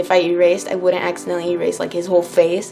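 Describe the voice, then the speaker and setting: Very fast talk from a woman, music sounding behind her. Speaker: art tutorial youtuber. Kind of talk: tutorial. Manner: casual, many filler words.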